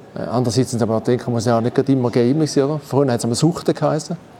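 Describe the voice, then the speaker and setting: Noticeable background noise runs under this clip. A man talks at a very fast pace and medium pitch. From Eastern Switzerland, St. Gallen (Rorschach). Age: 50s. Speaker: former gaming champion, heating installation manager. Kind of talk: casual chat. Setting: studio.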